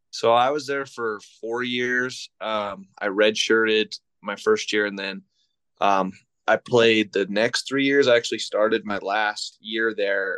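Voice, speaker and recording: A man with an American accent speaks in a bright, sharp tone, the sound dry and close with no echo against a quiet background. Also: medium pitch for a man, ordinary pitch variation. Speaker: high school football coach. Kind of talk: casual interview chat.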